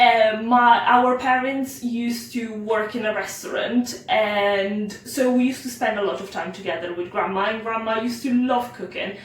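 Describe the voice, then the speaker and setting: With an Italian accent, a woman speaks with hardly any pauses at a fairly high pitch and ordinary pitch variation, over noticeable background noise and audible room echo. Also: moderate pace. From Italy. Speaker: home cook. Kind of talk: cooking tutorial. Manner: casual with frequent fillers.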